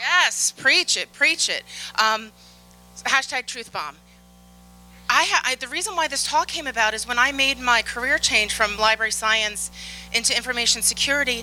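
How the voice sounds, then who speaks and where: A woman with a Philadelphia accent has a high pitch and a bright, sharp tone. Her moderate pace is broken by long, frequent pauses, with ordinary pitch variation. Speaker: conference speaker, infosec professional. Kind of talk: conference talk. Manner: animated.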